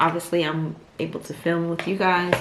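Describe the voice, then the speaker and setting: Noticeable background noise and audible room echo surround a woman speaking fairly quickly. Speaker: lifestyle vlogger. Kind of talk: casual vlog. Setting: at home. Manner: soft-spoken.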